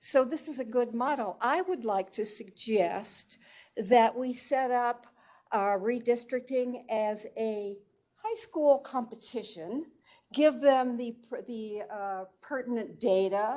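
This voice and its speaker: A woman's high-pitched voice with a dark, mellow tone, very slow pace and ordinary pitch variation. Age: 70s. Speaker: public commenter. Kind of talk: public comment at hearing.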